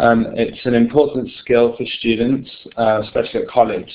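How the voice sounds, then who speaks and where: Medium-pitched male voice with a British accent. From United Kingdom. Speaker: software company presenter. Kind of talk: webinar product presentation. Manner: hesitant, many filler words.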